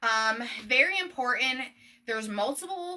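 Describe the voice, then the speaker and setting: Loud and in a bright, sharp tone, a woman speaks with an American accent. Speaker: business owner. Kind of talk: live stream tutorial.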